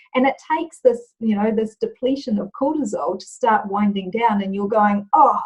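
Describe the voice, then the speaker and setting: A woman with a New Zealand accent speaks at a moderate pace with hardly any pauses, her pitch fairly high. Her voice is somewhat breathy, and her loudness swings widely. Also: ordinary pitch variation. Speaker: leadership and culture trainer. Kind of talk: interview. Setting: video call.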